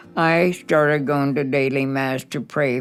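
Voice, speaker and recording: With music in the background, a woman speaks at a very slow pace in a very deep, low pitch. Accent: American. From Boulder, Colorado. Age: 80s+. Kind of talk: interview answer.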